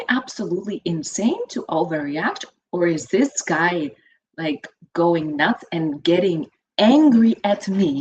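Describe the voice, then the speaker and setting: A woman with a Lithuanian accent speaks at a fairly slow pace. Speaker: financial educator. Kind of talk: interview. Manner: animated.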